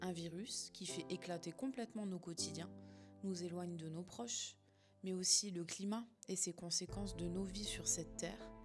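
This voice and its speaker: Music runs in the background of the clip. The woman speaks at a moderate pace. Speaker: hypnotherapist and coach. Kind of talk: podcast talk.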